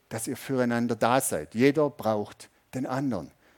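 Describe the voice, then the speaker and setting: A man speaks at a moderate pace. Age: 50s. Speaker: pastor. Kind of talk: sermon. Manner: conversational, audience-addressing.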